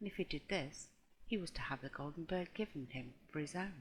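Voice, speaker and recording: The speaker is soft-spoken. The pace is moderate. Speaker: audiobook reader. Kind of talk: ASMR audiobook reading.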